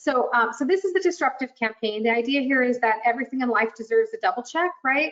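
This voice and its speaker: Speaking at a very fast pace with hardly any pauses, a woman keeps her loudness very even while her high voice carries lively intonation. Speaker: marketing presenter for a fintech vendor. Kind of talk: webinar presentation.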